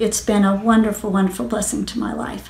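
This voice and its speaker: With noticeable background noise and audible room echo, a woman talks at a medium pitch. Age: 60s. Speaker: patient giving testimonial. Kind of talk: testimony. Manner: halting, with fillers.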